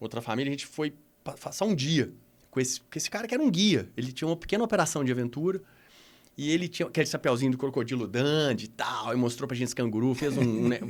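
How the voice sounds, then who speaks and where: In a Minas Gerais accent, a man speaks very fast at a medium pitch with lively intonation. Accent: Minas Gerais Brazilian Portuguese. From Minas Gerais, Brazil. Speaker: adventure tourism executive. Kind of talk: podcast interview. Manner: halting, many false starts.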